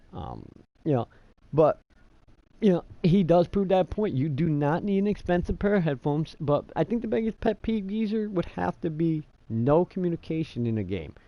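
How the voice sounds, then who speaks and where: Loud and lively in intonation, a man with an American accent uses a high pitch and a dark, mellow tone at a moderate pace, with a dry, close sound and no echo. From New York. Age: 30s. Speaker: gaming streamer. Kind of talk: casual chat. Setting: live stream.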